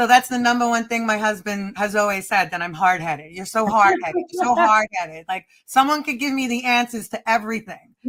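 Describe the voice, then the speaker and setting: A woman speaks with an American accent in an ordinary speaking voice. Her fairly high voice moves at a fairly quick pace with lively intonation. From Staten Island, New York. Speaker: stand-up comedian and producer. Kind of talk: interview answer.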